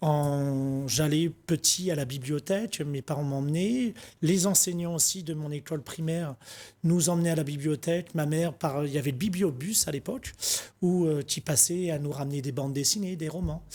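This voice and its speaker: The man's voice sits fairly high for a man and has a dark, mellow tone. His pitch varies in an ordinary way, and the recording is very clean with a silent background. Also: moderate pace. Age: 40s. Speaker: book wholesaler, shop manager. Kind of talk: TV interview. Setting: TV studio.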